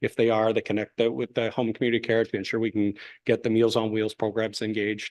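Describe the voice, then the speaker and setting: A man's medium-pitched voice, very fast and flat in a monotone, dry and close with no echo over a quiet background. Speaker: paramedic service manager presenting to council. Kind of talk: presentation to council.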